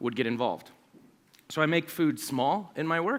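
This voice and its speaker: Over a very clean recording with a silent background, a man talks at a fairly quick pace in a fairly high pitch, his tone animated and his pitch variation ordinary. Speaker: researcher and conference speaker. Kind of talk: conference talk. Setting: stage with audience. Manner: fast when excited.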